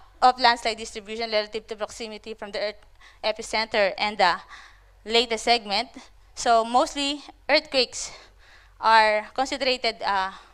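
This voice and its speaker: In a very clean recording with a silent background, a woman with a fairly high pitch and a bright, sharp tone speaks with ordinary pitch variation, big swings in loudness and long, frequent pauses. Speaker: conference presenter, landslide researcher. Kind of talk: conference presentation. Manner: fast.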